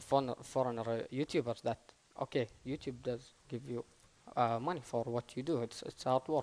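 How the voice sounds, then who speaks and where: In an Arabic accent, a man talks at a moderate pace with flat, monotone intonation. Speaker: gaming YouTuber. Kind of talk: panel discussion. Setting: stage with audience. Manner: halting.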